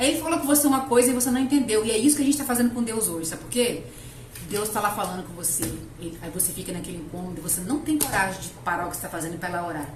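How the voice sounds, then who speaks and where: A woman speaks at a very fast pace, with very wide pitch swings and big swings in loudness. Room echo and noticeable background noise can be heard. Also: medium pitch for a woman. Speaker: lay preacher. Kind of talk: sermon.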